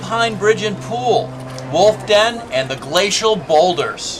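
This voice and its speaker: Amid noticeable background noise and audible room echo, a man with a high voice speaks fairly slowly, his pitch swinging very widely. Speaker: travel show host. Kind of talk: scripted narration. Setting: outdoors. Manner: loud.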